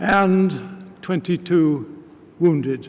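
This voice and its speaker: A man speaks with a British RP accent and ordinary pitch variation. Noticeable background noise can be heard. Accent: English RP, older British officer. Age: 80s+. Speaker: war veteran. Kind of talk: speech. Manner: halting.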